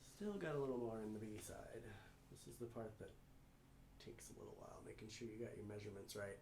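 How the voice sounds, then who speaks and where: A man mumbles at a very fast pace, broken by long, frequent pauses. Audible room echo and noticeable background noise surround him. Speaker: resin artist and co-host of a home livestream. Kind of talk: casual livestream chat while demonstrating a craft. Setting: at home, livestream. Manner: mumbling.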